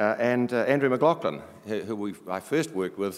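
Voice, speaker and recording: Speaking with a strong New Zealand accent, a man uses ordinary pitch variation. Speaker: board chair of an internet organisation. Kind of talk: conference opening speech. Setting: stage with audience. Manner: formal.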